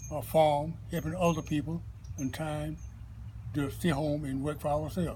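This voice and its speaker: A man with a Southern US accent talks at a moderate pace amid audible room echo. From US South, Florida (Brooksville). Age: 80s+. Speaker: retired construction worker. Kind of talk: oral history interview.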